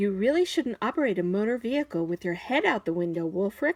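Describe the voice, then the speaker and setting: Using a put-on character voice, a woman talks very fast at a medium pitch. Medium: read story. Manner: eager, earnest.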